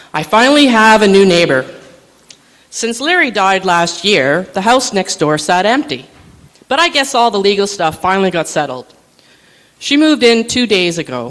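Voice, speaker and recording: Moderate pace with long, frequent pauses over noticeable background noise. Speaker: writer reading own work at open mic. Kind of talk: reading aloud.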